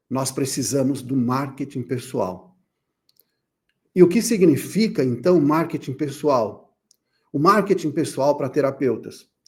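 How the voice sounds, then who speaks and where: This man speaks at a fairly slow pace in a fairly high, somewhat breathy voice, with long, frequent pauses. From Brazil, São Paulo. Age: 60s. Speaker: therapist and speaker. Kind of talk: conference talk.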